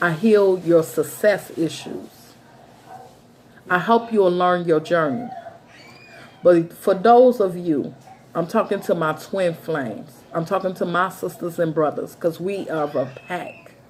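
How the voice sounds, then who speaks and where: Speech comes at a fairly slow pace with long, frequent pauses, ordinary pitch variation, and noticeable background noise. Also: woman, fairly low pitch for a woman. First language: not English. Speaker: tarot reader and psychic. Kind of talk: monologue to viewers.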